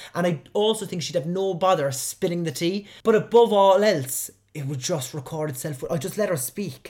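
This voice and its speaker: Speaking with a Cork accent, a man talks at a high pitch and a moderate pace, with ordinary pitch variation and hardly any pauses. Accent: Cork Irish. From Cork, Ireland. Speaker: podcast host. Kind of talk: solo podcast monologue, casual chat. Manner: animated, humorous.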